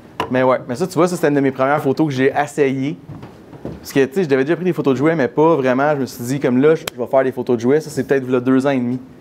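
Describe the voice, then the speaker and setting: A man's fairly high, fairly even voice at a very fast pace amid noticeable background noise. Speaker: miniature photographer giving a talk. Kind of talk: conference Q&A.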